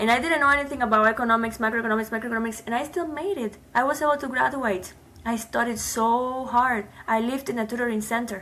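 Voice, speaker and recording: Bright and sharp in tone, this very fast speech in a Cuban accent has ordinary pitch variation. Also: woman, fairly high pitch for a woman. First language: Spanish. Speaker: immigrant, nonprofit founder. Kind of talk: interview.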